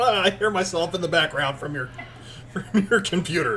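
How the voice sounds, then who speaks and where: A man speaking over noticeable background noise. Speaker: live streamer. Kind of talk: casual chat. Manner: loud.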